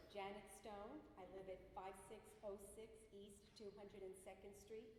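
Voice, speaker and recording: A woman at medium pitch in a New Jersey accent, monotone and flat, with audible room echo and noticeable background noise. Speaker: resident speaking at public hearing. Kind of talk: public comment. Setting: public meeting hall with microphone.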